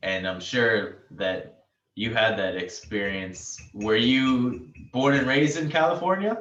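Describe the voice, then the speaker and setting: A man with an American accent at medium pitch, very slow in pace, with lively intonation and audible room echo. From US, New York. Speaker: podcast host, spiritual teacher. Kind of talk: casual interview chat.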